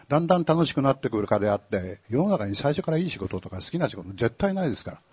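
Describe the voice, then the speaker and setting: This man speaks at a very fast pace. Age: 70s. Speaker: author. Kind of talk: live talk event interview. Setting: stage with audience.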